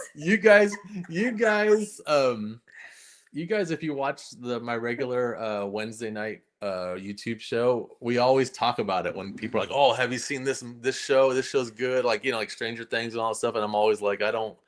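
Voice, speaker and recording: A man speaks in a normal speaking voice at a medium pitch, with lively intonation. The recording is very clean, with a silent background. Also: moderate pace. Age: 50s. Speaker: comic artist and streamer. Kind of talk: casual chat. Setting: home livestream.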